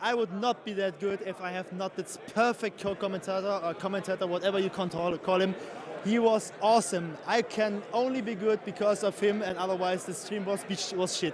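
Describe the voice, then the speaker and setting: Over noticeable background noise, a man speaks at a fairly quick pace with a German accent. His pitch is high and his intonation fairly even. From Germany. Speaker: live stream commentator. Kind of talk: live stream interview. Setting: tournament venue. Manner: halting, searching for words.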